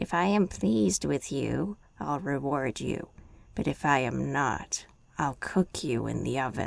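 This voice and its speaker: A growling put-on character voice at a low-to-middle pitch and a fairly slow pace. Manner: growling, threatening.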